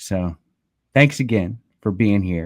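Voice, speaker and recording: A man with a plain, everyday voice speaks fairly slowly at a fairly low pitch. The recording is very clean with a silent background and has a dry, close sound with no echo. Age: 30s. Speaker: podcast host. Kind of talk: interview conversation. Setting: in person. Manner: casual.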